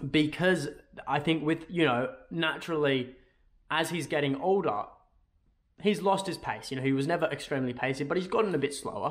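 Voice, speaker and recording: With long, frequent pauses and an Australian accent, a man talks in a fairly high pitch against a quiet background. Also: ordinary pitch variation, fairly quick pace. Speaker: football YouTuber. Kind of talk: casual video commentary. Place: home room.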